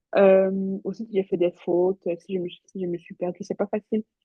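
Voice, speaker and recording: A woman's medium-pitched voice at a moderate pace, with music in the background. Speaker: nursing exam tutor. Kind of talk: recorded live revision session. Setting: talking to a computer alone. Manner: mumbles words at times.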